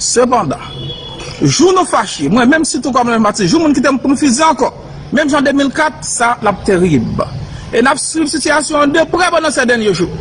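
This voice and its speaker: His pitch is extremely high for a man, and his loudness stays very even. The man speaks at a fairly slow pace with long, frequent pauses over light background noise. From Haiti. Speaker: military commander. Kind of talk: press conference statement. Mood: firm, assertive. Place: street. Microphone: phone near.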